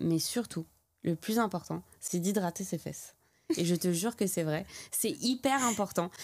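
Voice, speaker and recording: A woman's voice at a moderate pace with ordinary pitch variation, on a very clean recording with a silent background. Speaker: skin care clinic founder. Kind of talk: casual chat.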